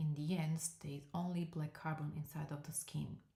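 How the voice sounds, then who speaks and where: A woman's very deep, low voice, somewhat breathy and dark, mellow in tone, with a non-native accent, fairly even intonation and a fairly slow pace. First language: not English. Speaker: permanent makeup artist and trainer. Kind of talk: live stream tutorial. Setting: live stream. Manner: halting, many fillers.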